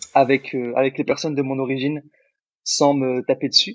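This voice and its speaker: A man using a normal speaking voice talks fairly quickly, at a fairly high pitch. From born in Algeria, grew up in France. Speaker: podcast co-host. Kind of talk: casual chat.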